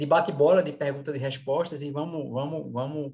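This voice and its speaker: A man speaks at a moderate pace in a fairly high, somewhat breathy voice with monotone, flat intonation. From Brazil, Recife (Pernambuco). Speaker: event organizer, course director of a professional society. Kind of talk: online panel moderation, casual introduction. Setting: video call / online live panel. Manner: hesitant, many fillers and repetitions.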